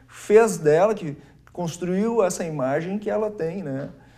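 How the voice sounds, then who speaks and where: Lively in intonation, a man speaks at a high pitch in a dark, mellow tone. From Brazil, Estrela, Rio Grande do Sul; Rio Grande do Sul, Brazil. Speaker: lawyer, business association president; lawyer. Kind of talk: TV interview. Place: studio. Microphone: lapel.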